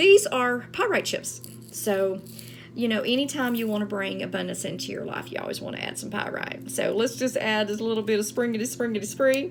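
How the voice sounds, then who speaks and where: Talking at a fairly quick pace, a woman speaks with an American accent. Noticeable background noise is present. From Texas. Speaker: spiritual practitioner. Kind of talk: tutorial. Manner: casual, chatty.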